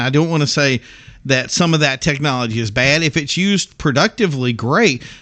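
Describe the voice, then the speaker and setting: A man speaks at a fairly quick pace in a fairly high, bright, sharp voice. His delivery is animated, with lively intonation. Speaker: podcast co-host. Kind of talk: casual chat. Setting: studio. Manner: fast.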